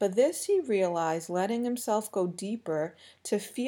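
The pitch varies in an ordinary way as the text is read aloud in a natural voice.

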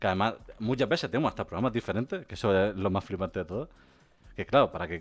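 Lively in intonation and fairly low in pitch, a man talks at a very fast pace. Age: 30s. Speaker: podcast host. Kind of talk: casual chat. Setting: live stream.

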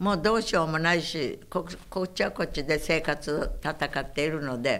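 Her pitch is very deep and low for a woman. She talks at a moderate pace with ordinary pitch variation. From Okinawa, after childhood in Saipan. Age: 90s. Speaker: war survivor and civic activist. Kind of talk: oral history interview.

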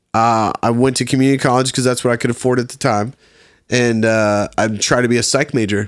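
Delivered at a fairly quick pace in an American accent, the speech sits on a very clean recording with a silent background. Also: man, medium pitch for a man. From Virginia. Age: 30s. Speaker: photographer. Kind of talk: casual chat. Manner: animated.

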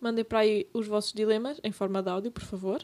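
A woman's unremarkable speaking voice, fairly high in pitch, with fairly even intonation. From Portugal, Serra region. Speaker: podcast co-host. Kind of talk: casual chat.

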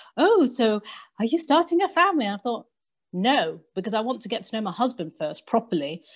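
On a very clean recording with a silent background, a woman with an English accent speaks at a moderate pace, with fairly high pitch and lively intonation. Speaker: podcast co-host and convert community worker. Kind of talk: casual discussion. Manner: talkative.

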